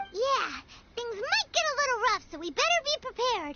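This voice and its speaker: A squeaky, extremely high-pitched put-on character voice at a moderate pace. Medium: video game.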